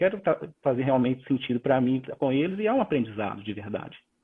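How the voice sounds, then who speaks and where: A man with a Minas Gerais accent talks at a fairly quick pace with very wide pitch swings. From Minas Gerais, Brazil. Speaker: corporate leader, innovation speaker. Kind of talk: live-stream interview. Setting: online live stream.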